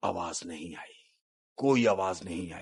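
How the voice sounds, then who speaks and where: The speaker uses a raspy, put-on character voice. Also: man, very deep, low pitch for a man. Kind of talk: spooky campfire storytelling. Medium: read story. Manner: conversational, suspenseful.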